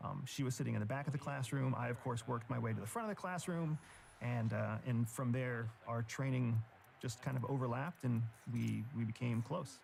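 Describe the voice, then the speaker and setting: An ordinary speaking voice with an American accent, very even loudness, ordinary pitch variation and a fairly quick pace. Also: man, medium pitch for a man. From rural Pennsylvania. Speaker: former intelligence officer and author. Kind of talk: interview.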